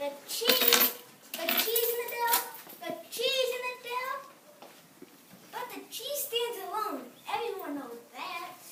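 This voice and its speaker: A put-on character voice, pitched extremely high, delivered fairly slowly. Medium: read story. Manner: excitable, repetitive.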